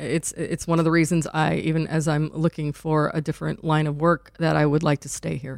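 A woman with an American accent speaks at a very deep, low pitch and a fairly quick pace. Her intonation is monotone and flat, in a very clean recording with a silent background. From northwest Indiana, near Chicago. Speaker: journalist. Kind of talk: casual interview chat.

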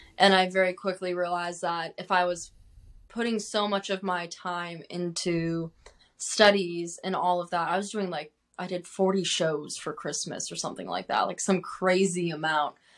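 Speaking at a moderate pace with an American accent, a woman keeps her fairly low voice in a monotone, flat intonation. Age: 20s. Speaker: country singer-songwriter. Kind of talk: interview.

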